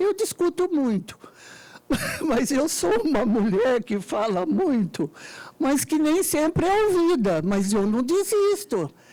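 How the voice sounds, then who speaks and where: A woman's high voice moves through very wide pitch swings at a very slow pace, with very even loudness. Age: 70s. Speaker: party foundation member, audience participant. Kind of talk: debate floor remark. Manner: emphatic.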